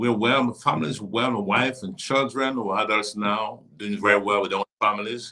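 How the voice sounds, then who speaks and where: A man with a normal speaking voice, fairly low in pitch, at a fairly quick pace with hardly any pauses and fairly even intonation. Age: 60s. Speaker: bishop, church leader. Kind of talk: casual interview. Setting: live stream on social media.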